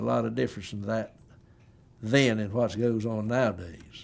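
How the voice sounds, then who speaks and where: This is a man's voice. He speaks with an eastern North Carolina accent. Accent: Southern US, eastern North Carolina. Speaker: family history interviewee. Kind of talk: oral history interview.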